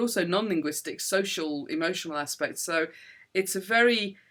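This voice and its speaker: A woman with a slight northern English accent speaks at a medium pitch in a bright, sharp tone with ordinary pitch variation. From northern England. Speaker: neuroscientist professor. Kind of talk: interview. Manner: calm; clear.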